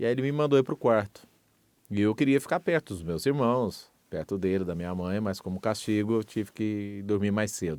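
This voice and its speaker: A man with a fairly low pitch speaks at a moderate pace with lively intonation, in a normal speaking voice. The recording is very clean, with a silent background. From Minas Gerais, Brazil. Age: 50s. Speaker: radio broadcaster. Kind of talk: interview testimony.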